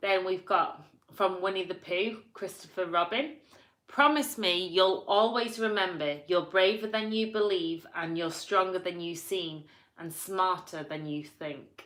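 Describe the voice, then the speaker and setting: In a strong Yorkshire accent, a woman talks at a fairly slow pace and medium pitch with ordinary pitch variation. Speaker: vlogger. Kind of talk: reading quotes aloud with casual comments.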